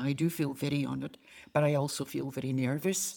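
A woman with a Scottish accent, very deep and low in pitch, dark and mellow in tone, at a fairly quick pace with fairly even intonation. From Glasgow, Scotland. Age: 80s+. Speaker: retired missionary. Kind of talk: interview testimony. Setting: in-person sit-down interview.

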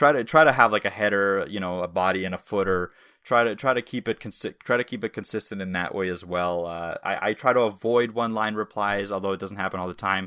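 Talking at a very fast pace, a man with a Canadian accent has a fairly low pitch, a bright, sharp tone and ordinary pitch variation, captured dry and close with no echo on a very clean recording with a silent background. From Canada, moved from Russia at age five. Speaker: web developer podcast co-host. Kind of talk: casual chat.

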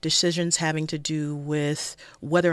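A woman with a Los Angeles accent speaks in a very deep, low pitch. Her intonation is fairly even, on a very clean recording with a silent background. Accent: American, Los Angeles. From South Central Los Angeles. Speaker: public defender running for judge. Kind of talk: radio interview.

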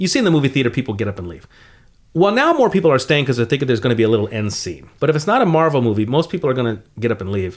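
At a very fast pace, a man with an American accent speaks at a medium pitch with very wide pitch swings, in a very clean recording with a silent background. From US West Coast, San Fernando Valley. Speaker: comedian, co-host. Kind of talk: casual chat. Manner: animated.

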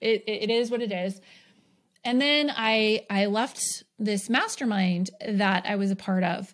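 Using an unremarkable speaking voice, a woman with an American accent speaks at a fairly high pitch. Her pace is fairly slow and her intonation fairly even. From New York. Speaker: podcast host and business coach. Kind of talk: solo podcast monologue. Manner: casual, filler-heavy with frequent laughs.

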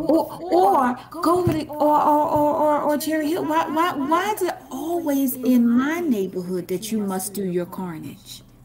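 A woman's high-pitched voice with very wide pitch swings and hardly any pauses, over noticeable background noise. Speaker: podcast co-host. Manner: fiery, blunt, exasperated.

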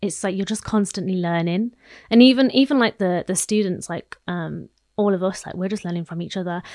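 A woman with a West Midlands accent, medium pitch and ordinary pitch variation, fairly quick pace, big swings in loudness, dry close sound with no echo, very clean recording against a silent background. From English Midlands. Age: 20s. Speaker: actress. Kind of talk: casual interview chat.

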